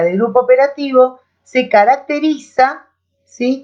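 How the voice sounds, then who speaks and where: A woman with a high pitch speaks in a Rioplatense accent. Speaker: teacher. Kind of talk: lecture.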